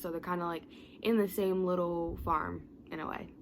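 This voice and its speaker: At a moderate pace and medium pitch, a woman speaks in a plain, everyday voice. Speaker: motivational youtuber. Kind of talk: motivational talk to camera. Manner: casual, with fillers and self-corrections.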